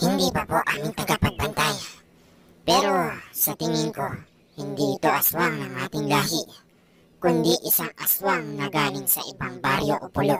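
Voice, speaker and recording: A cartoonish character voice talks. The pace is moderate. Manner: deferential.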